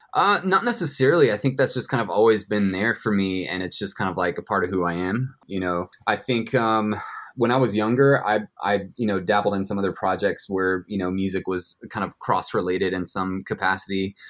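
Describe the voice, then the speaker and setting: This man has an ordinary speaking voice, fairly low in pitch with ordinary variation, and he speaks at a fairly quick pace. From US South, Georgia (west of Atlanta). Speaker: coffee roaster and business owner. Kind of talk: casual interview. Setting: video call.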